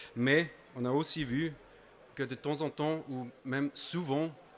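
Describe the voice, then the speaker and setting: In a non-native accent, a man of medium pitch speaks very slowly in a flat monotone. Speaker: conference presenter. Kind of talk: conference talk. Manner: halting, many hesitations.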